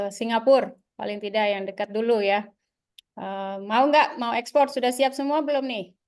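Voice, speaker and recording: Fairly high-pitched woman at a moderate pace, ordinary pitch variation, quiet background. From Jakarta, Indonesia (Betawi). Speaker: business association co-founder, webinar speaker. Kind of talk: webinar presentation. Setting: video call webinar. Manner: hesitant, frequent fillers.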